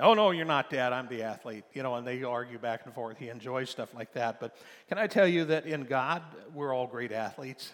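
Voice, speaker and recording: Here a man talks at a fairly quick pace. His pitch is medium, with ordinary variation. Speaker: preacher. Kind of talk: sermon. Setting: church. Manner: animated call-and-response preaching, urging the congregation to say amen; rhythmic, repetitive, exhortative.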